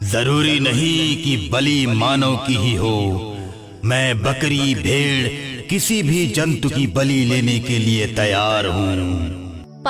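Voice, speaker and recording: A man's put-on character voice at medium pitch and a very slow pace, with clear music in the background. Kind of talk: horror drama. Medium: read story.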